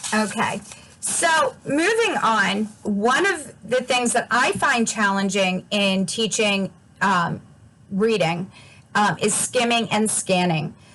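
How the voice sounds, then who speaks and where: Noticeable background noise sits behind a woman talking very slowly. Her pitch is fairly high and her intonation lively, while her loudness stays very even. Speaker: adult education instructor and presenter. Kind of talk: presentation.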